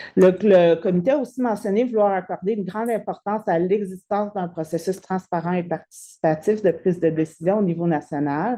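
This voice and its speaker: Dark and mellow in tone, a woman speaks at a medium pitch with ordinary pitch variation. Her pace is fairly quick, with hardly any pauses. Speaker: lawyer and legal researcher presenting her thesis. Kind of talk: academic lecture. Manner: halting, many hesitations and repeated words.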